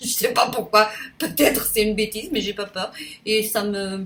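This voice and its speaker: A woman talks at a fairly slow pace and medium pitch. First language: Portuguese (speaking French). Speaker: YouTuber. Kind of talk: casual vlog monologue. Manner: halting, many hesitations; spontaneous, unedited.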